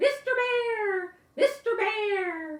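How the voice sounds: Putting on a character voice, a woman speaks in an extremely high, squeaky and shrill tone.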